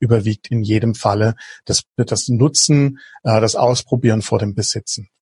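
A man speaks at a medium pitch with ordinary pitch variation and a somewhat breathy voice. The sound is dry and close, with no echo. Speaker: innovation coach. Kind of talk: podcast interview.

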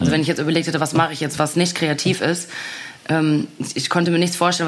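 A very fast pace over noticeable background noise. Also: woman. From Ruhr area, Germany. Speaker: singer and actress. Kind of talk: casual chat.

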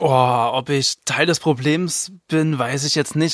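In an ordinary speaking voice, a man talks with fairly even intonation at a fairly high pitch. The sound is dry and close with no echo, on a very clean recording with a silent background. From Rhineland-Palatinate, Zweibrücken near the Saarland border. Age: 20s. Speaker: tabloid editor. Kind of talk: casual chat.

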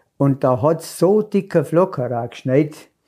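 A very slow delivery in a strong Allgäu accent, dark and mellow in tone, on a very clean recording with a silent background. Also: man. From Allgäu, Bavaria. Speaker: local elder sharing childhood memories. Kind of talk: casual reminiscing chat. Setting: cozy living room by a tiled stove.

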